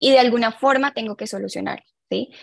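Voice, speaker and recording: A woman at a moderate pace, the sound dry and close with no echo. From Colombia. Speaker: clinical psychologist. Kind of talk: interview on mental health.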